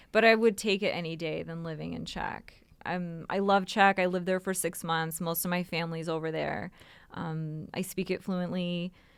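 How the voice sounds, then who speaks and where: Monotone, flat intonation from a woman with a Canadian accent, fairly low in pitch, at a moderate pace. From Canada, Toronto area. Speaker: real estate broker. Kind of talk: casual chat.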